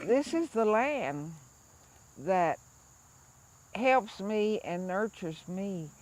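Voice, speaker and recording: Lively intonation comes through as a woman talks with an American accent. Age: 70s. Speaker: farmer and traditional healer. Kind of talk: personal storytelling interview.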